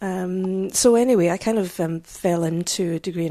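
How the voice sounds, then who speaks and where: A woman's dark, mellow voice, fairly low in pitch, with fairly even intonation and a Scottish accent. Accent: Scottish, noticeable. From Scotland, south of Glasgow. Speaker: social historian and lecturer. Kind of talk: casual interview. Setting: old building with beamed roof.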